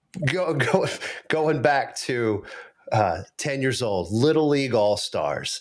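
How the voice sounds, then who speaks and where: Over noticeable background noise, a man with an American accent and a fairly high pitch speaks at a very slow pace with lively intonation. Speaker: pastor and apologist. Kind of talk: casual chat.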